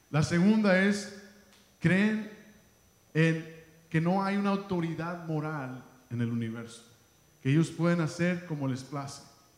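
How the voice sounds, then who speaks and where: In a room with audible echo, a man with a high voice and ordinary pitch variation speaks at a fairly slow pace with long, frequent pauses. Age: 30s. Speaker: pastor. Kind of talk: sermon.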